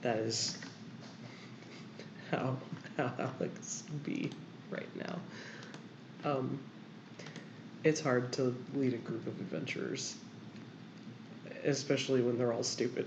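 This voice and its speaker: A woman with a very deep, low voice speaks at a fairly slow pace with ordinary pitch variation and long, frequent pauses, amid noticeable background noise and audible room echo. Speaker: artist streamer. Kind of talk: casual chat. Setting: livestream.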